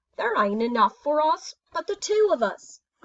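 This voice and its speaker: Putting on a character voice, a woman speaks high in pitch with very wide pitch swings. Her pace is moderate. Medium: read story.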